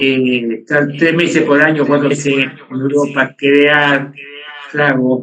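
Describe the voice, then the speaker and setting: A man's fairly high, flat, monotone voice at a very slow pace, very even in loudness, over noticeable background noise. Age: 70s. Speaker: bartender. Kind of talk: casual chat.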